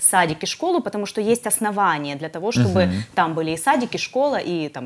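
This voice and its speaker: A woman talking at a fairly quick pace with very wide pitch swings. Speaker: guest. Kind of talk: interview answer. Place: studio.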